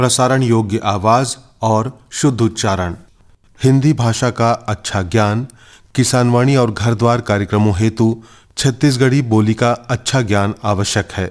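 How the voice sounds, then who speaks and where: A man talks in an ordinary speaking voice at a medium pitch, with fairly even intonation and very even loudness. The recording is very clean, with a silent background. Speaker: radio announcer. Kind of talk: radio announcement / public notice.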